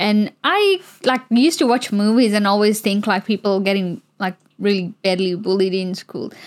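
A woman with a plain, everyday voice speaks at a medium pitch and a fairly slow pace, her intonation fairly even. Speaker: podcast guest. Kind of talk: casual chat.

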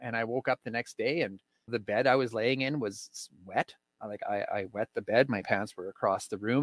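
A man with a Canadian accent in a normal speaking voice, medium pitch and ordinary pitch variation, at a moderate pace, with a dry, close sound with no echo on a very clean recording with a silent background. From Saskatchewan, Canada. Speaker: recovering addict, podcast host. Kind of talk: personal testimony interview.

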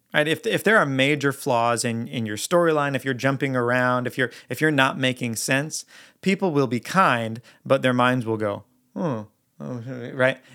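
The recording is very clean, with a silent background. A man with a plain, everyday voice talks at a medium pitch and a moderate pace. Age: 30s. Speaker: worship leader and songwriter hosting a podcast. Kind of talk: teaching monologue.

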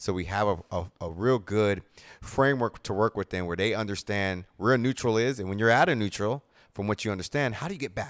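A man with a plain, everyday voice talks at a fairly quick pace and a fairly low pitch with ordinary pitch variation, in a dry, close sound with no echo on a very clean recording with a silent background. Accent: American. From Japan (American military family, Okinawa and mainland). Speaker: strength and performance coach. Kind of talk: casual interview chat.

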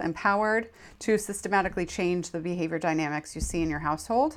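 Her pace fairly quick, a woman speaks at a medium pitch with ordinary pitch variation on a very clean recording with a silent background. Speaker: podcast host and counselor. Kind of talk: solo educational talk. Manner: fast; halting, many fillers and repetitions.

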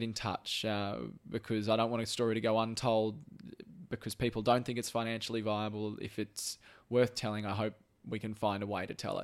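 A man speaks with an Australian accent. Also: very clean recording, silent background. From Brisbane, Australia. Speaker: podcast host, former TV journalist. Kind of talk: casual chat. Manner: halting, repeats words.

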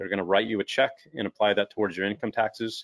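A man with an unremarkable speaking voice and fairly low pitch talks at a fairly quick pace in a dry, close sound with no echo. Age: 40s. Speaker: entrepreneur and business coach. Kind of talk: webinar interview.

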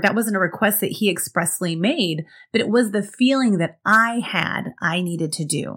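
With hardly any pauses, a woman speaks at a moderate pace in an ordinary speaking voice, using medium pitch and lively intonation. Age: 40s. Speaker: productivity coach and podcast host. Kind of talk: solo podcast monologue.

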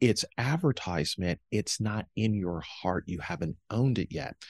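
A man with an ordinary speaking voice talks at a fairly slow pace and fairly low pitch, with lively intonation. The sound is dry and close with no echo, and the background is quiet. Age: 50s. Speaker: author and speaker. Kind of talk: interview.

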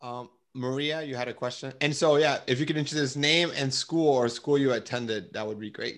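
A man's medium-pitched voice at a fairly quick pace, with ordinary pitch variation and hardly any pauses. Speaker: career mentoring podcast host. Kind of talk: group coaching call moderation. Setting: video call. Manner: fast talker; enthusiastic.

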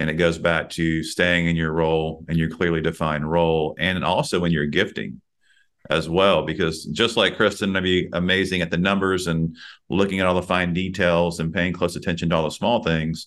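A man with a Texan accent speaks at a moderate pace. His pitch is very deep and low. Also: fairly even intonation, very even loudness. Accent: Texan US Southern. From Texas. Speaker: podcast host and executive leadership coach. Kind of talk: casual interview.

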